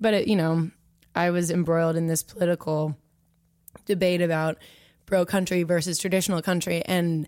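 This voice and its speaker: A plain, everyday voice, this woman speaks with an American accent at a fairly low pitch and fairly quick pace. The recording is very clean, silent background, with a dry, close sound with no echo. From Washington DC area (Potomac, Maryland). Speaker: country singer-songwriter. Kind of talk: interview.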